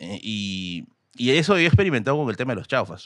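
Speaking with a Peruvian accent, a man at medium pitch moves at a fairly quick pace, the sound dry with no echo and the background quiet. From Peru, Tacna. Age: 30s. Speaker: history content creator. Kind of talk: casual chat. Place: studio. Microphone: studio mic.

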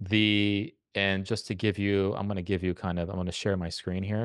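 This man has a plain, everyday voice at a fairly low pitch, talking at a moderate pace with a dry, echo-free sound against a quiet background. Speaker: composition professor. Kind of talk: masterclass teaching. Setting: live video call. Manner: casual, repeats words often. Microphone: studio mic.

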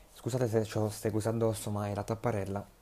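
A man with a dark, mellow tone speaks very fast in a monotone, flat intonation over light background noise. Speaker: gaming YouTuber. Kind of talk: casual vlog update. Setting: at home by a window blind. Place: home room. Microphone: earbuds.

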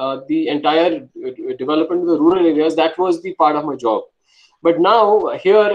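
This man's voice sits high for a man, moving at a moderate pace with ordinary pitch variation. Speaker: senior civil servant, city commissioner. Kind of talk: guest talk to startups.

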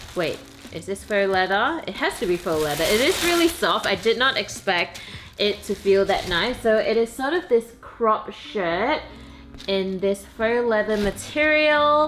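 A woman speaking at a fairly slow pace, with faint music in the background. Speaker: lifestyle vlogger. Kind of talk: casual vlog chat. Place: home room. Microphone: camera far.

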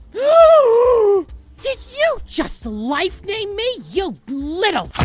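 This put-on character voice is extremely high-pitched and moves at a very slow pace. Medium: fan dub. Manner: whiny, bratty, sarcastic.

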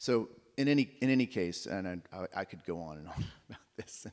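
A fairly low male voice in an American accent, with lively intonation and a quiet background. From Oklahoma. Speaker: researcher; panelist. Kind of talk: lecture. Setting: stage with audience. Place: stage.

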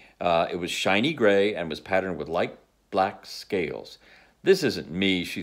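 The intonation stays fairly even as a passage is read aloud in a natural voice.

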